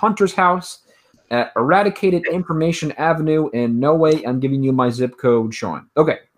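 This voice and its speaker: With lively intonation and a fairly high pitch, a man talks at a moderate pace in an unremarkable speaking voice. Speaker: podcast co-host. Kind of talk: casual chat. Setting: video call.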